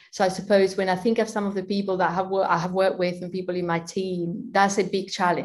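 A woman with a Spanish accent speaks in a medium pitch. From Spain. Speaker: finance leader and accountant. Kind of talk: interview.

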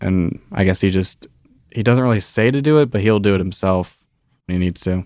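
This man has an unremarkable speaking voice, fairly low in pitch with ordinary variation, and he talks at a fairly quick pace. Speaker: summer intern in a drilling fluids lab. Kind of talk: casual interview.

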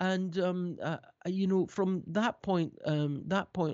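A man with a Scottish accent. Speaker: keyboard player and producer. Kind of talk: interview. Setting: remote call. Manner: halting.

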